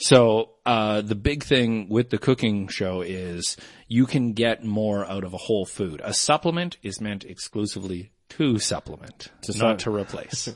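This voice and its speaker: A man's fairly low voice with ordinary pitch variation and a slight Canadian accent, against a quiet background. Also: fairly slow pace. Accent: mild Canadian. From Canada. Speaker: podcast guest, comedian and voice performer. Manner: explains at length, conversational.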